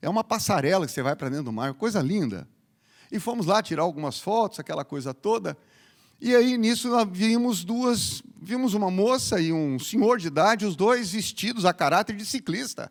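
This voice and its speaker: Animated and high-pitched, a man speaks at a moderate pace with very wide pitch swings on a very clean recording with a silent background. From Paraná, southern Brazil. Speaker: pastor. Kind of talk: sermon. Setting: church.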